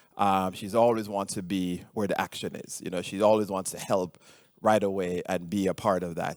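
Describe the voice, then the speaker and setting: On a very clean recording with a silent background, a man with a Jamaican accent talks at a moderate pace in a very deep, low pitch with fairly even intonation. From Jamaica (rural). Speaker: cardiologist and researcher. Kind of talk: conference talk. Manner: halting, many fillers.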